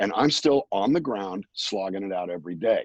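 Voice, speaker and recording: A man's normal speaking voice, fairly low in pitch, at a moderate pace, dry and close with no echo, against a quiet background. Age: 60s. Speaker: singer-songwriter and voice actor. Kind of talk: interview.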